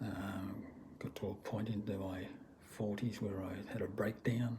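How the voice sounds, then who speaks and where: A man's dark, mellow voice is fairly low in pitch and somewhat breathy. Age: 60s. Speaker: vlogger. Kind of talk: personal testimony vlog. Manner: halting, many fillers.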